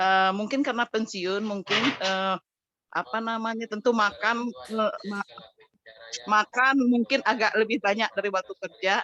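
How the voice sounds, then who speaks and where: In a dry, close sound with no echo, a woman with a fairly high pitch talks at a fairly slow pace and varies her pitch in an ordinary way. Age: 60s. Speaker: retiree asking a question. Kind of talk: question from audience. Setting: video call, camera off. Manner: halting, hesitant.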